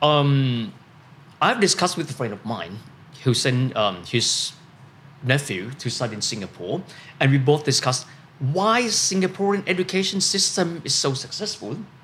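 A man speaks with a Thai accent at a moderate pace. His fairly high voice makes very wide pitch swings. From Thailand. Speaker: finance commentator and podcast host. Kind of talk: casual panel discussion.

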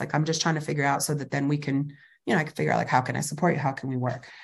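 A woman with an American accent sounds somewhat breathy over a quiet background. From California Central Valley, Fresno. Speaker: community college president. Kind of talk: interview conversation.

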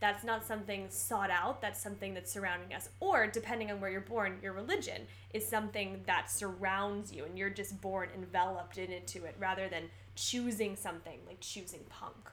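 Fairly quick speech from a woman in an American accent. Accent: American, trained actor. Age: 20s. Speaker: podcast co-host, actor. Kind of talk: casual chat.

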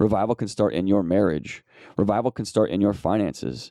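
With a dark, mellow tone and vocal fry, the voice moves at a very fast pace with ordinary pitch variation, its sound dry and close with no echo against a quiet background. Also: man. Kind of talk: solo devotional podcast, prayer. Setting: solo recording, no guest. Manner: fervent, earnest, pleading.

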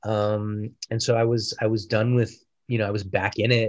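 A man's fairly low voice with an American accent, at a moderate pace against a quiet background. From Denver, Colorado. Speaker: film director. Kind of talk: interview.

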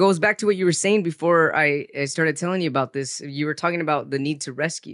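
A man's fairly high voice at a very fast pace, with ordinary pitch variation, hardly any pauses, and a dry, close sound with no echo. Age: 40s. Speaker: psychologist and author with a rare disease. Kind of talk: personal testimony in interview.

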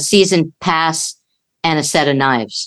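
This woman has a plain, everyday voice. Her pitch varies in an ordinary way. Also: quiet background. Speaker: comedian and podcast co-host. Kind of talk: casual chat. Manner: laughs often.

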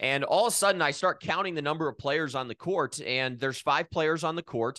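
A man talking at a very fast pace with a bright, sharp tone and lively intonation, in a dry, close sound with no echo over a quiet background. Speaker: sports broadcaster. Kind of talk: casual interview.

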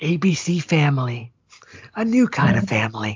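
A put-on character voice at a low-to-middle pitch moves along at a moderate pace. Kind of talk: announcer.

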